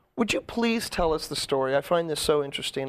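A man speaks in a plain, everyday voice at a fairly quick pace with fairly high pitch, on a very clean recording with a silent background. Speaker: talk show host. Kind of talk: casual interview chat. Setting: studio.

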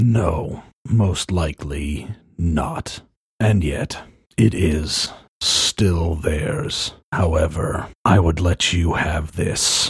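A man puts on a raspy character voice, very deep and low in pitch. He goes at a very slow pace with ordinary pitch variation. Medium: actual play. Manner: terse, slow.

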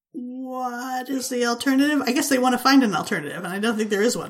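On a very clean recording with a silent background, a woman with a plain, everyday voice and a fairly high pitch talks at a fairly quick pace. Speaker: podcast host. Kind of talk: casual banter, comedic chat.

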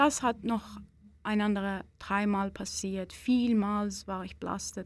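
A woman with a Persian accent speaks at a very slow pace in a somewhat breathy, medium-pitched voice with ordinary pitch variation. The recording is very clean with a silent background. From Iran. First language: Persian (speaking German). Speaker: Iranian women's rights activist. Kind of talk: interview. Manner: halting.

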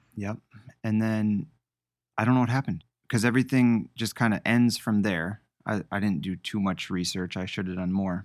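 Fairly low in pitch, a man speaks in a plain, everyday voice with ordinary pitch variation on a very clean recording with a silent background. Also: moderate pace. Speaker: podcast host. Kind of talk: casual podcast discussion. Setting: basement studio recording.

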